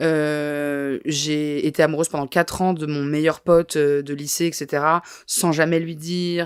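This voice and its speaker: The voice moves at a very slow pace with monotone, flat intonation. The recording is very clean, with a silent background. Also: woman. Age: 20s. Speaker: comedian and journalist. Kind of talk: podcast interview. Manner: halting.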